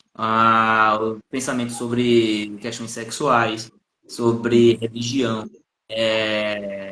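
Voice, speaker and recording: Very slow, monotone speech from a man with a medium pitch, a bright, sharp tone and flat intonation, in a northeastern Brazilian accent. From Brazilian Northeast, Paraíba. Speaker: psychologist. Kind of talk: live stream conversation. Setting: Instagram live video call.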